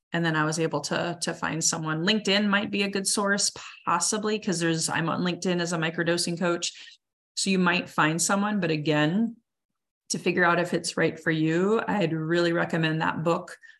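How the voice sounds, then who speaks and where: A woman with an ordinary speaking voice talks at a fairly quick pace and a fairly low pitch, with fairly even intonation and very even loudness. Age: 40s. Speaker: coach and speaker. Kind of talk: interview.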